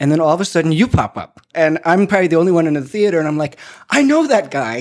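This man talks at a very fast pace. He has an American accent. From United States. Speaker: podcast interviewer, educational leader. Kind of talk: interview.

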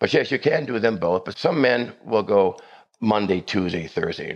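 An ordinary speaking voice is heard talking at a moderate pace. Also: man. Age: 60s. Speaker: doctor. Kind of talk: interview.

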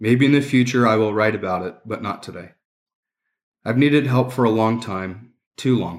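Over a very clean recording with a silent background, a man of medium pitch talks at a moderate pace with ordinary pitch variation and long, frequent pauses. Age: 30s. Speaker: police or military sergeant sharing recovery story. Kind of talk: testimony. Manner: choked up, emotional.

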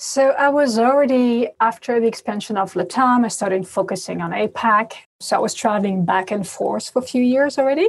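A woman with a French accent speaks in a fairly high pitch with ordinary pitch variation. She talks at a fairly quick pace with hardly any pauses. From France. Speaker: payments industry expert. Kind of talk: interview.

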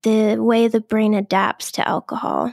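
Fairly high in pitch and with an American accent, a woman speaks slowly in an unremarkable speaking voice, the sound dry and close with no echo. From Boston area, US. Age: 30s. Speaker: scientist in recovery from alcohol. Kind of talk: interview.

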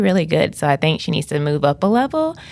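Speaking with an American accent, this woman has a very deep, low pitch. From US South, Greenville, South Carolina. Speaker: school counselor. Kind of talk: interview. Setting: studio.

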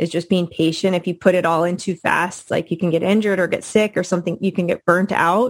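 A woman speaks at a fairly quick pace with medium pitch and ordinary pitch variation, in an unremarkable speaking voice. The recording is very clean, with a silent background. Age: 30s. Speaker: professional marathon runner. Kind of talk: interview.

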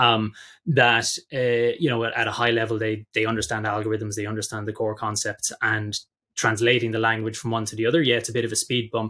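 In a very clean recording with a silent background, a man with a Dublin accent talks at a fairly quick pace in a bright, sharp tone with a monotone, flat intonation. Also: medium pitch for a man. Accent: Dublin Irish. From Ireland, Dublin. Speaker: tech company executive. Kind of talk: interview. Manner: halting, many repeated words.

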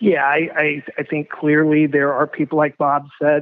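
With an American accent, a man talks at a moderate pace in a fairly high voice. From California. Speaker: hospitality association president. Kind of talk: interview.

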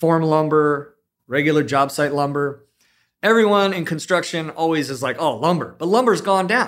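Heard on a very clean recording with a silent background, a man with an American accent speaks at a moderate pace, his pitch fairly high with ordinary variation. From US West Coast, South Bay of Los Angeles. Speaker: general contractor. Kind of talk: casual chat.

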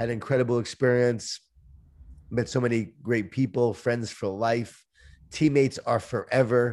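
A man speaks at a moderate pace with fairly even intonation in a plain, everyday voice. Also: medium pitch for a man. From Long Island, New York. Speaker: author and speaker. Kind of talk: interview.

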